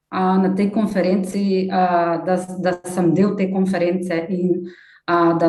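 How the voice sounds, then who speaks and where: In a Slovenian accent, a woman with a medium-pitched voice speaks at a fairly slow pace with fairly even intonation and very even loudness, and audible room echo surrounds her. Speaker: development project team leader and civil society activist. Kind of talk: conference talk. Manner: halting, many fillers.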